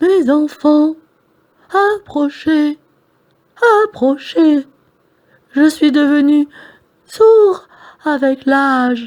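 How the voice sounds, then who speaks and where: A woman's put-on character voice, high in pitch, very slow, with long, frequent pauses. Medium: read story. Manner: sweet, coaxing.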